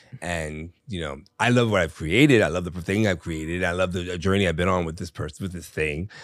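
In a very clean recording with a silent background, a man with a very deep, low pitch and an animated tone talks at a fairly quick pace with hardly any pauses, lively in tone yet with ordinary pitch variation. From Virginia, US. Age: old. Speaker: drag performer and nightlife entertainer. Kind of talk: casual interview chat.

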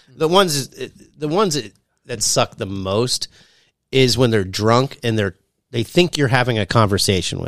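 An ordinary speaking voice, this man's sits at a medium pitch, with an American accent and lively intonation at a moderate pace. The sound is dry and close, with no echo. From US. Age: 40s. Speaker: aspiring stand-up comedian. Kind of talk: casual chat.

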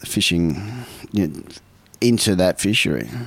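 A man with an Australian accent speaks at a fairly slow pace in a fairly low voice with lively intonation, over noticeable background noise. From South Australia, Port Lincoln. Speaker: fisherman. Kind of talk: interview. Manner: halting.

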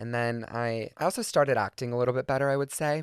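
Someone with an American accent speaks at a very fast pace on a very clean recording with a silent background. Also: man, dry, close sound with no echo. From US South, Georgia. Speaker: comedic content creator. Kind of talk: casual storytelling monologue. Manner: high energy.

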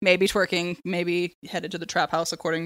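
A woman speaks fairly quickly in a plain, everyday voice with a fairly low pitch. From San Diego, California. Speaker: book editor and podcast co-host. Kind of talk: casual chat.

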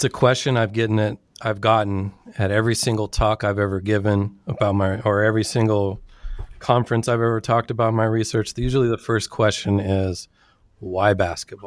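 A man with a Californian accent talks at a fairly quick pace in a fairly low voice, with monotone, flat intonation and very even loudness. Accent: Californian American English. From Sacramento, California. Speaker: anthropologist and author. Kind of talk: interview.

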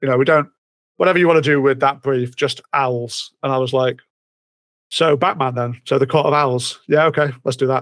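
With a British accent, a man talks at a moderate pace in a fairly high pitch, his intonation fairly even. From Britain. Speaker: comic writer and musician. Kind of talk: casual interview chat. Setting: remote call at night.

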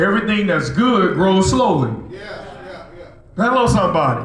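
Animated tone from a man at a fairly slow pace, against noticeable background noise. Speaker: preacher. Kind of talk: sermon. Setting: church with live congregation. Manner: animated, call-and-response, rhythmic preaching that urges the congregation to shout; emphatic, repeating key lines for impact.

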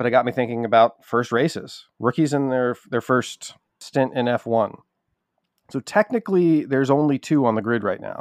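A man talks in an ordinary speaking voice at a medium pitch and moderate pace, with ordinary pitch variation. The sound is dry and close, without echo. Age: 40s. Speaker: podcast producer presenting statistics. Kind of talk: casual chat.

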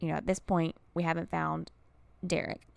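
In a dry, close recording with no echo, a woman talks at a moderate pace in an upbeat tone. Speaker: true crime podcast host. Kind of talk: true-crime narration. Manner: measured, storytelling cadence with grim emphasis; conversational, upbeat, chatty in intro.

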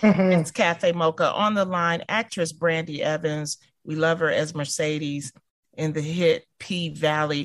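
A woman with an American accent uses a normal speaking voice, fairly low in pitch and fairly slow in pace. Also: fairly even intonation. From Detroit, Michigan. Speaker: radio host. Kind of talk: casual chat.

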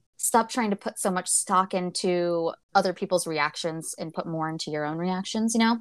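An ordinary speaking voice with an American accent at a moderate pace, with hardly any pauses and ordinary pitch variation, on a very clean recording with a silent background. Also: woman, medium pitch for a woman. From United States. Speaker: book podcast co-host. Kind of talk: casual chat.

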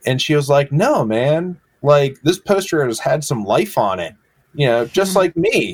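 A man with an American accent talks at a moderate pace in a normal speaking voice. His pitch is fairly high, and his intonation is lively. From Massachusetts, rural. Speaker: graphic designer and illustrator. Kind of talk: casual interview. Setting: video call.

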